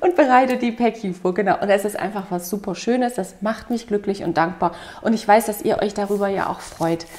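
Her pace fairly quick, a woman talks with ordinary pitch variation. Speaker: vlogger. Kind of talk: casual vlog chat. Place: home room.

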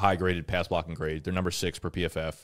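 Here a man talks at a very fast pace. His pitch is very deep and low, and the background is quiet. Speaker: fantasy football show host. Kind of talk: casual chat. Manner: animated. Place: studio. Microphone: studio mic.

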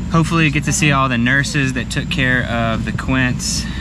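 The man's voice is dry with no echo, while loud noise fills the background. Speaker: family vlogger. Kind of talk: casual vlog chat. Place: car. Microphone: phone near.

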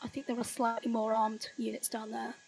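In a Yorkshire accent, a woman talks at a very fast pace. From Yorkshire, northern England, rural village. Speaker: teacher and political activist. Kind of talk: casual interview chat. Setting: remote call from the UK.

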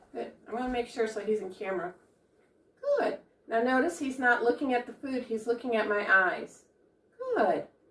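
The speaker keeps a moderate pace with ordinary pitch variation and long, frequent pauses, in a room with audible echo. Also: woman. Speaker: dog trainer. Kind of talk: tutorial. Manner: informal, friendly. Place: home room.

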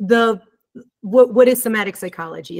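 A woman talking at a very fast pace against a quiet background. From Moldova, raised in Germany. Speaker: somatic psychologist and visual artist; guest. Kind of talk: presentation. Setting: video call. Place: home room.

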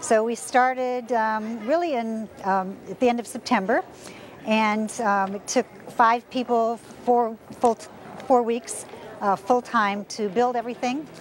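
Fairly even in intonation, a woman speaks over light background noise with a dry sound and no echo. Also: fairly slow pace. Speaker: interviewee. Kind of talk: interview answer. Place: street. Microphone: lapel.

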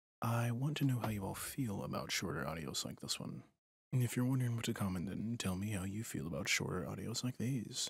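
A man's somewhat breathy voice carries lively intonation at a moderate pace. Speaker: ASMR roleplay performer. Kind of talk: asmr roleplay, scripted. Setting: close-mic ASMR recording.

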